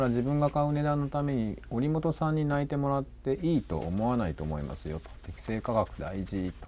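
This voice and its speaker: Over light background noise, a man talks at a fairly quick pace with very wide pitch swings and hardly any pauses. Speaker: stream director and co-host. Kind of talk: casual live stream talk. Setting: live stream. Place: shop.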